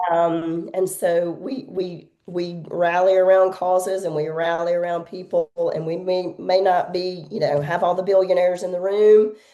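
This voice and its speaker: With a Southern US accent, a woman talks at a medium pitch in a flat monotone, hardly pausing at all. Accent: Southern drawl. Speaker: nonprofit executive director. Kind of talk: interview podcast. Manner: warm.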